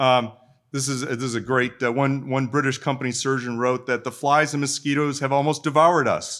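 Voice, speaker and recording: With an American accent, a man talks at a fairly quick pace in a medium pitch with monotone, flat intonation, on a very clean recording with a silent background. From Minnesota. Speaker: military historian, retired army colonel. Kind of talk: panel talk. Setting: stage with live audience.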